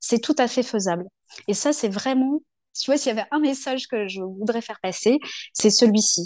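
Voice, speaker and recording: A woman with a fairly high pitch speaks at a moderate pace with lively intonation against a quiet background. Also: dry, close sound with no echo. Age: 40s. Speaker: local political activist. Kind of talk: interview conversation.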